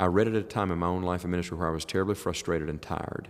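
A man talks at a very fast pace in an Appalachian accent. His pitch is very deep and low. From US South, southern West Virginia. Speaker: evangelist preacher. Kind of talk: casual interview. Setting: quiet room at a summer camp.

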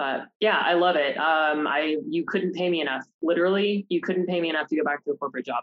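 A woman with an American accent talks at a very fast pace with hardly any pauses. Her pitch is fairly low for a woman, with ordinary pitch variation. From Oregon, US. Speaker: self-employed marketing consultant. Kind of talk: casual interview. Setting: studio.

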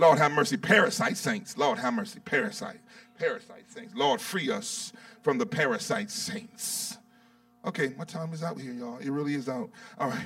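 Over noticeable background noise, a man speaks in a high pitch with an animated tone, lively intonation, and big swings in loudness. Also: moderate pace. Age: 50s. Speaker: bishop preaching. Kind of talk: sermon.

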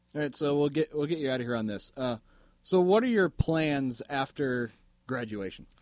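With an unremarkable speaking voice, a man talks at a moderate pace, his fairly high pitch moving in lively intonation. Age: 20s. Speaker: podcast host. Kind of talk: casual interview.

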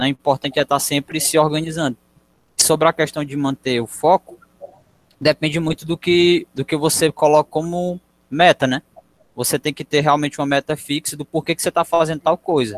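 Recorded dry and close with no echo, a man talks at a fairly quick pace in a fairly high, monotone, flat voice. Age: 20s. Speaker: civil engineering student. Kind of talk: casual chat.

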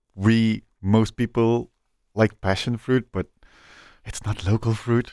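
In a Flemish accent, a man speaks at a very slow pace and fairly low pitch, the sound dry and close with no echo on a very clean recording with a silent background. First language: Dutch. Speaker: chef and podcast host. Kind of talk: casual interview.

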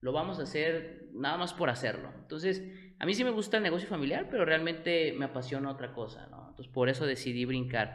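In audible room echo, a man with a fairly high pitch talks at a fairly quick pace with lively intonation. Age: 20s. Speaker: entrepreneur, tequila brand founder. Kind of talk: interview.

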